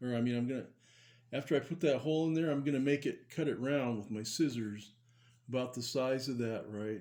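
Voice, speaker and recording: A man's dark, mellow, medium-pitched voice at a fairly quick pace with ordinary pitch variation. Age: 70s. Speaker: model car builder, channel host. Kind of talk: hobby tutorial. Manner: casual, hesitant with many fillers.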